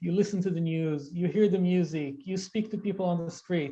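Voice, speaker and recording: The speaker talks at a moderate pace with an Israeli accent. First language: Hebrew. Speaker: Hebrew language specialist. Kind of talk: interview conversation.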